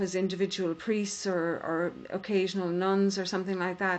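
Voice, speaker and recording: A woman speaks with a Donegal accent. Her pitch is medium. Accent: Donegal Irish. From Ireland. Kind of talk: podcast conversation.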